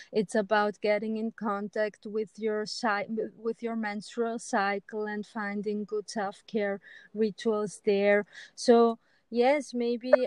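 At a very slow pace, a woman speaks in a monotone, flat way at a fairly high pitch. The sound is dry and close, with no echo. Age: 40s. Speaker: spiritual women's teacher. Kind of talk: casual interview.

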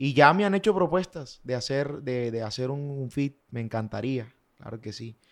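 Speaking with lively intonation at a fairly slow pace, a man has a plain, everyday voice in a very clean recording with a silent background. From Colombian Caribbean coast, Valledupar. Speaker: vallenato singer. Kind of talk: casual interview chat.

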